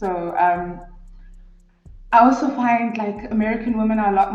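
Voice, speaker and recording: A woman with a South African accent and a fairly high pitch, fairly even intonation, music in the background and audible room echo. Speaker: guest reality show reviewer. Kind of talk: casual chat.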